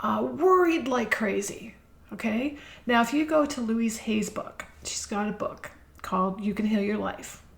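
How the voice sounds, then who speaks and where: Over noticeable background noise, a woman with a fairly high pitch speaks fairly slowly, her pitch swinging very widely. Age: 60s. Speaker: podcast host. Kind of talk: inspirational monologue. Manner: conversational.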